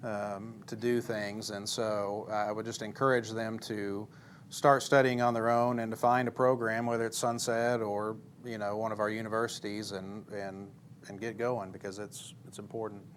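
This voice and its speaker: A man's medium-pitched voice with an American accent, monotone and flat, at a moderate pace, with big swings in loudness and audible room echo. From Missouri. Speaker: preacher. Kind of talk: church interview.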